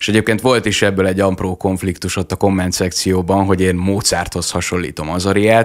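A man speaks at a fairly quick pace with hardly any pauses. His pitch is very deep and low, and the background is quiet. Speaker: lawyer and TikTok vlogger; lawyer, TikTok vlogger. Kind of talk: radio interview. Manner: articulate and enthusiastic. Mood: friendly, smiling. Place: studio. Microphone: studio mic.

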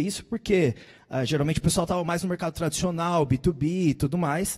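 Against a quiet background, a man talks at a moderate pace. His pitch is high. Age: 30s. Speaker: startup founder, sales panelist; panelist. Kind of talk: panel debate on stage. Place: stage. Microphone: handheld.

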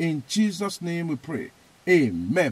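The speaker has a Nigerian accent and lively intonation, and the sound is dry with no echo. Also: man. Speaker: evangelist. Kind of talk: fervent prayer, loud command-style declarations, repeating phrases with rising intensity. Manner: emphatic, repetitive, forceful.

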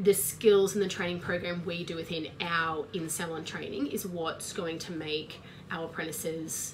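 A woman at fairly low pitch, moderate pace and monotone, flat intonation, over noticeable background noise. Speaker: trainer. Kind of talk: expert talk to camera. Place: office. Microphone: webcam.

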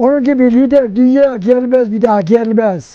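At a fairly slow pace, a man speaks in an extremely high pitch with a dark, mellow tone and ordinary pitch variation, the sound dry with no echo over a quiet background. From Sinop, Turkey. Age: 80s+. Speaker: villager. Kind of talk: interview answer. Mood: earnest, praising, emphatic. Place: open country.

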